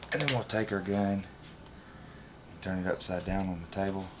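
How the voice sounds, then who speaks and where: A man speaks at a moderate pace with a fairly low pitch. Noticeable background noise runs underneath. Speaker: firearms hobbyist. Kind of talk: tutorial walkthrough. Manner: monotone.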